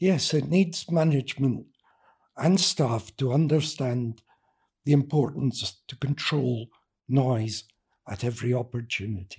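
At a fairly slow pace, a man speaks with long, frequent pauses. His voice is medium in pitch and somewhat breathy, with ordinary pitch variation. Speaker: architect and researcher. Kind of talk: casual interview chat. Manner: soft-spoken.

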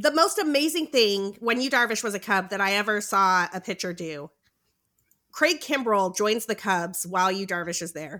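A woman with an American accent speaks at a moderate pace, her tone bright and sharp and her intonation lively. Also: medium pitch for a woman. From US, spent time in Boston. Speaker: fantasy baseball analyst. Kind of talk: casual chat about fantasy baseball. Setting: remote recording, Friday night.

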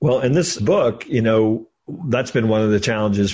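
Against a quiet background, the voice is somewhat breathy with ordinary pitch variation. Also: man. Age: 50s. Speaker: author and entrepreneur. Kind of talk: interview.

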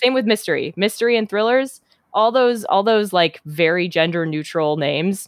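In an American accent and an unremarkable speaking voice, a woman talks at a fairly quick pace with lively intonation. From Minnesota, US Midwest. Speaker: novelist. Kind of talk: interview.

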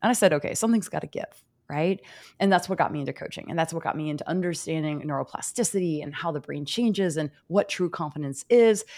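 A woman talks at a very fast pace in a fairly low pitch, with ordinary pitch variation and an animated, enthusiastic tone. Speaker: podcast host and confidence coach. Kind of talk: interview conversation.

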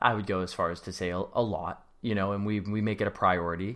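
The very clean recording with a silent background captures a man talking at a fairly quick pace. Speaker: host's husband. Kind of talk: casual chat. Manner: joking, dry humor.

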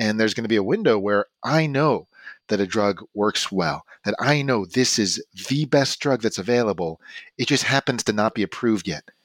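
Against a very clean recording with a silent background, a man speaks in an unremarkable speaking voice at medium pitch and a moderate pace, with ordinary pitch variation and a dry, close sound with no echo. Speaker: oncologist. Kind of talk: casual interview.

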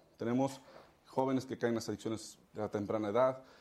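A man talks fairly quickly at a medium pitch, his pitch varying in an ordinary way. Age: 30s. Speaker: politician. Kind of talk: interview.

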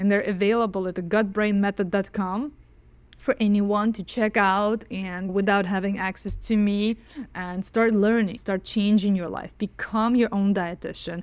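In a Russian accent, a woman at a medium pitch speaks in a monotone, flat intonation at a moderate pace, on a very clean recording with a silent background. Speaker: dietitian. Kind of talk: interview.

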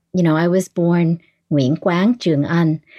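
A woman's dark, mellow, fairly low voice in an American accent at a moderate pace, on a very clean recording with a silent background. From US East Coast, Northern Virginia. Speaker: podcast host, guest. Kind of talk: casual chat.

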